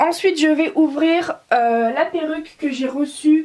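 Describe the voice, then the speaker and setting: At a very slow pace, a woman speaks with a high pitch and ordinary pitch variation. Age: young. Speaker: doll collector. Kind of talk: casual unboxing voice-over.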